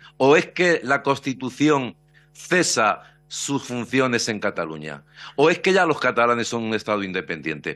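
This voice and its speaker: Music in the background accompanies a man talking at a fairly slow pace with very wide pitch swings. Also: medium pitch for a man. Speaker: opposition deputy. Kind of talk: parliamentary speech, pointed questioning of the minister. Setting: parliamentary committee hearing. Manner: sarcastic, combative, fluent. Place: hall. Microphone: podium.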